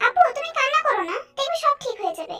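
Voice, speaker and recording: Music plays in the background as a woman puts on a squeaky character voice at an extremely high pitch. Her pitch swings very widely at a fairly quick pace. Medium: read story. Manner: soft, earnest.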